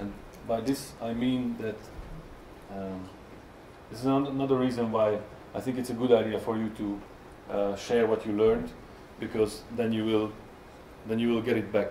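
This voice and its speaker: Moderately paced, monotone and flat speech from a man with a Hungarian accent, medium in pitch, with audible room echo and noticeable background noise. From Hungary. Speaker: software tester. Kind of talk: conference talk. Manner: halting, many fillers.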